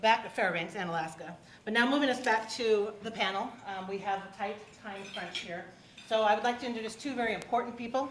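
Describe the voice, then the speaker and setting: Speaking very fast, a woman with a fairly high voice shows big swings in loudness and ordinary pitch variation, with noticeable background noise and audible room echo. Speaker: forum moderator. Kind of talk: public forum moderation. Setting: hotel event room with audience.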